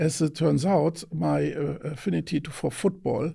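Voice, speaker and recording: A fairly high, somewhat breathy male voice, dark and mellow in tone, with ordinary pitch variation. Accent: German. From Germany, countryside near Mönchengladbach. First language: German. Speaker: venture investor. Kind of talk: interview. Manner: halting, with fillers and repetitions.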